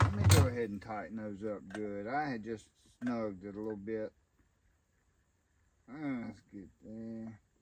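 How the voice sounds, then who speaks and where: With a Southern US accent, a man speaks at a fairly slow pace and fairly low pitch, leaving long, frequent pauses. His intonation stays fairly even. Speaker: homesteading YouTuber. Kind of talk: unboxing tutorial. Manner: casual, folksy.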